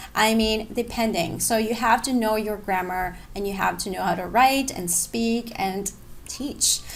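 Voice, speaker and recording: Speaking at a fairly slow pace, a woman with a non-native accent uses a fairly high pitch and fairly even intonation. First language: not English. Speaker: online English teacher and blogger. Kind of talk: tutorial. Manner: casual, conversational.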